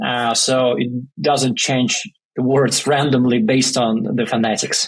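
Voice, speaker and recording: A man's medium-pitched voice with a Russian accent, fairly slow, monotone and flat, at very even loudness. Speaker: startup founder. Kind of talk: podcast interview. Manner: hesitant, many fillers.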